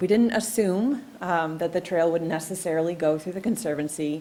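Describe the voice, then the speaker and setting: Speaking at a moderate pace, a woman has an unremarkable speaking voice, fairly low in pitch, with lively intonation. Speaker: trail planning presenter. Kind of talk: public meeting presentation. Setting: township commission meeting.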